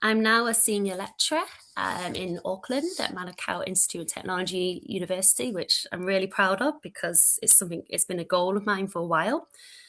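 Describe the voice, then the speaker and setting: In a Manchester accent, a woman speaks at a medium pitch and a fairly quick pace, with hardly any pauses. Her tone is bright and sharp, with ordinary pitch variation. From northern England, Manchester. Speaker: early childhood education lecturer. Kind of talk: presentation. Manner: loud.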